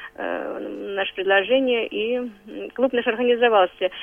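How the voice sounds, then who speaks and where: Here is a woman with an unremarkable speaking voice, pitched fairly high. Her intonation is fairly even. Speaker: head of veterans council. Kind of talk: radio interview.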